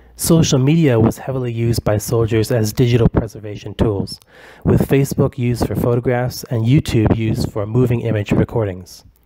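A man speaks fairly quickly while noticeable background noise carries on around him. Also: medium pitch for a man, fairly even intonation. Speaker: academic researcher. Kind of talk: conference presentation. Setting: recorded virtual conference. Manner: formal.

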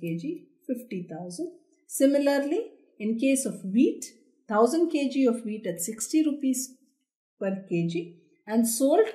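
A woman talks at a very slow pace, leaving long, frequent pauses. Her pitch swings very widely over a quiet background. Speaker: accounting teacher. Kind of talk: lecture.

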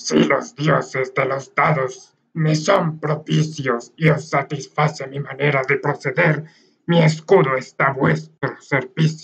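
A man's fairly high pitch, fairly even intonation and fairly slow pace. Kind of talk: archaic formal Castilian speech. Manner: formal, courteous.

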